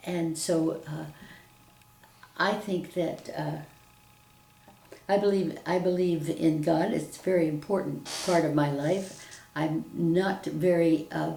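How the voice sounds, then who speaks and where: A woman's fairly low voice at a very slow pace with an American accent, ordinary pitch variation, long and frequent pauses, and audible room echo. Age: 80s+. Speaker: retired teacher. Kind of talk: interview testimony. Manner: halting.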